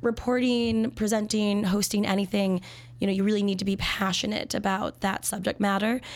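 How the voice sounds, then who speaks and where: Her intonation stays fairly even at a medium pitch. The woman speaks at a moderate pace. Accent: American. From Minnesota. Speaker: sommelier. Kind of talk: casual interview. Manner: talkative; laughs often.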